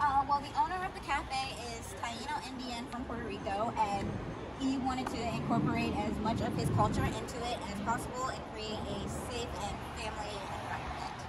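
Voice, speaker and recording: A woman at a moderate pace, with ordinary pitch variation and music in the background. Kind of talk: interview answer. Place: street.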